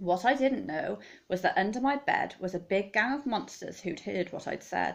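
With vocal fry, a woman talks in an animated, playful tone with lively intonation. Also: moderate pace. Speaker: teacher reading aloud. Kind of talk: children's story reading aloud, rhyming picture book, bedtime-story style. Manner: animated, playful, dramatic expression. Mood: warm, expressive storytelling. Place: home room. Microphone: phone near.

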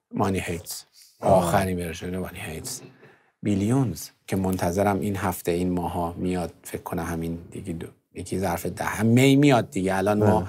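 Light background noise sits behind this man. His very deep, low pitch moves with ordinary variation. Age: 40s. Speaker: music producer; interview guest. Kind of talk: interview. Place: studio. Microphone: lapel.

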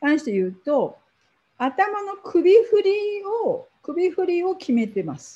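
A woman speaks at an extremely high pitch in a dark, mellow tone, with very wide pitch swings and big swings in loudness. The background is quiet. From Japan. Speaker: professor; university researcher lecturer. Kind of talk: lecture. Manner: halting.

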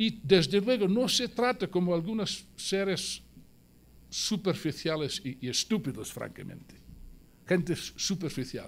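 Speaking with an English accent, a man with high pitch and lively intonation talks at a fairly slow pace. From South Wales. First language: English (speaking Spanish). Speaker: Marxist editor and speaker; speaker. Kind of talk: political speech. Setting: museum event with live audience. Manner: animated. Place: hall. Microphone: podium.

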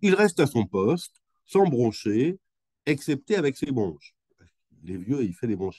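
Speaking at a fairly slow pace with lively intonation, a man has a medium pitch, a dark, mellow tone and a slightly husky edge, in a dry, close sound with no echo.

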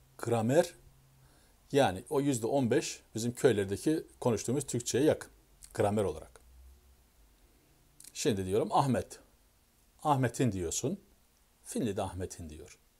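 A man's medium-pitched, somewhat breathy voice with a dark, mellow tone and lively intonation, at a fairly slow pace with long, frequent pauses. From Turkey. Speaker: YouTuber. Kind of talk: casual explanatory monologue. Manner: halting, self-correcting. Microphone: phone near.

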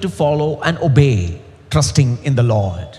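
With vocal fry and very wide pitch swings, a man speaks at a moderate pace. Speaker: preacher. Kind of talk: sermon. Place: stage. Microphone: headset.

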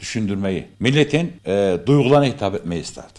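Against a quiet background, a man's voice shows vocal fry and very wide pitch swings. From Turkey, Kayseri; Turkey. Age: 50s. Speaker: amateur theatre actor. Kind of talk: interview. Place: hall. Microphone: studio mic.

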